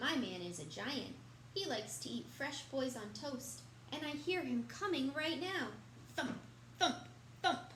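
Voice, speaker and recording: A woman's put-on character voice at a moderate pace, full of long, frequent pauses, over clear background noise. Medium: read story.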